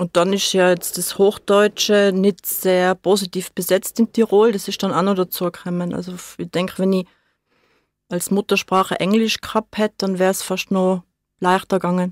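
A woman's medium-pitched voice, monotone and flat, at a moderate pace on a very clean recording with a silent background. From born in Hamburg, grew up in Seefeld, Tyrol. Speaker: studio guest. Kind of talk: radio interview. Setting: radio studio.

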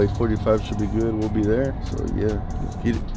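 Clear music plays in the background of this dry recording with no echo, where a man speaks at a moderate pace with a fairly low pitch. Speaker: vlogger. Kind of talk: casual vlog chat. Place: car. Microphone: phone near.

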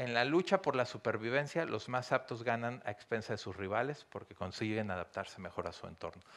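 This man talks at a fairly quick pace with a Mexican accent and hardly any pauses. His pitch varies in an ordinary way. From Mexico. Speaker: business consultant and university lecturer; university lecturer. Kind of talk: lecture. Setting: stage with audience. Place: hall. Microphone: handheld.

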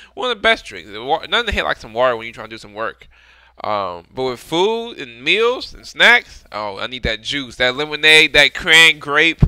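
Against a quiet background, in a dry sound with no echo, a man speaks at a moderate pace with big swings in loudness. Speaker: music reaction streamer. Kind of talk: casual vlog chat. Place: home room. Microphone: headset.

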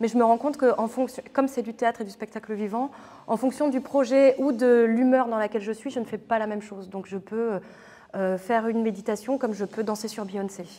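Her voice dark and mellow, a woman talks at a fairly quick pace with fairly even intonation. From northern France, near Lille; northern France. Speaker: theatre artist. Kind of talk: interview. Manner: hesitant, many filler sounds. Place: hall.

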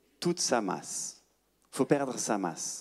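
A French accent over a quiet background. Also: man. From France, Paris. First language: French (speaking Italian). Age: 40s. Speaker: astrophysicist and science communicator; speaker. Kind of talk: public lecture. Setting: stage with audience. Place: hall. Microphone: handheld.

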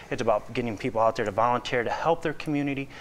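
The speaker is a man with an American accent. His pitch varies in an ordinary way. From Lake County, Northwest Indiana; Indiana. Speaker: business development director; talk show guest. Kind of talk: interview. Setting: studio. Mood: earnest, warm. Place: studio. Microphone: lapel.

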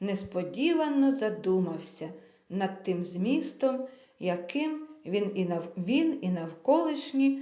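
This is an unforced reading voice. The intonation is lively.

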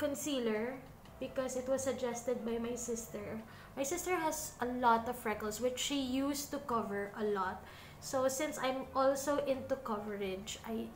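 Speech comes at a moderate pace with ordinary pitch variation, audible room echo and light background noise. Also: woman, high pitch for a woman. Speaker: beauty vlogger. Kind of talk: casual makeup tutorial chat. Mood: relaxed, self-deprecating. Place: home room.

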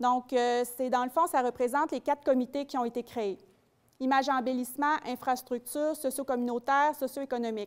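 A woman with a high voice speaks at a moderate pace. Her intonation is fairly even, and the background is quiet. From Quebec. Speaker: community development officer; presenter. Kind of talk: public presentation. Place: hall. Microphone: handheld.

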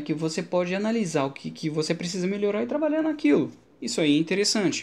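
A man with a Brazilian accent speaks with ordinary pitch variation. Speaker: Linux instructor and tech YouTuber; Linux instructor, tech YouTuber. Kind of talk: tech commentary video. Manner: casual, conversational. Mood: relaxed, enthusiastic. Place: home room. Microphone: studio mic.

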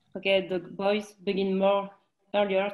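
A woman speaks in a French accent at a moderate pace. Her pitch sits at a medium level. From France. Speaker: arts federation delegate. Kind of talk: presentation. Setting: video call. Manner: halting. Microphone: video call.

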